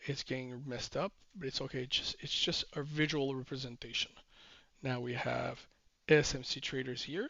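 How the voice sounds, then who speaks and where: This man's voice sits fairly high. Vocal fry runs through his speech. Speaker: trading educator. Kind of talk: tutorial. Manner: slow, deliberate pace; hesitant with fillers.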